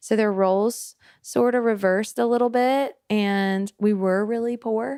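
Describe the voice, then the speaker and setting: With a Southern US accent, a woman speaks at a fairly slow pace in a fairly high pitch. Her tone is dark and mellow, her intonation fairly even, and her loudness very even. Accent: Southern twang. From US South, Memphis, Tennessee. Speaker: worship pastor. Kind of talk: casual chat. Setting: on location in a coastal town.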